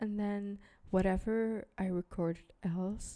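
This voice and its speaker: A woman's medium-pitched voice, dark and mellow in tone, with monotone, flat intonation. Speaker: podcast host. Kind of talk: casual solo podcast talk. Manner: casual, many fillers.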